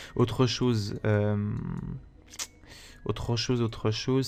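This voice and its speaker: A man with a medium-pitched voice keeps his intonation fairly even. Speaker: gaming youtuber. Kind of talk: gameplay commentary. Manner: fast, talks non-stop; hesitant, many fillers.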